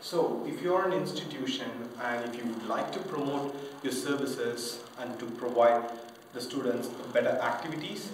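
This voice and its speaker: A man speaks at a moderate pace amid light background noise, and the room echo is audible. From Indian-born French. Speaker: English teacher. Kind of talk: self-promotional pitch to camera. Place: home room. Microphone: camera far.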